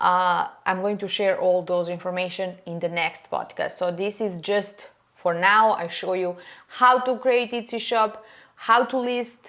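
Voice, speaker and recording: The speaker has a non-native accent and a bright, sharp tone. The pace is fairly slow, with ordinary pitch variation. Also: woman, medium pitch for a woman. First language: not English. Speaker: furniture painting podcaster. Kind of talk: casual tutorial monologue. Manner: halting, many fillers.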